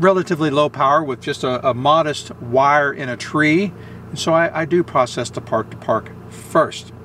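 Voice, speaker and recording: Delivery comes at a moderate pace with ordinary pitch variation. The sound is dry with no echo, over light background noise. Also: man. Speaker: amateur radio operator. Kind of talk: tutorial. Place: car. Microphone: phone near.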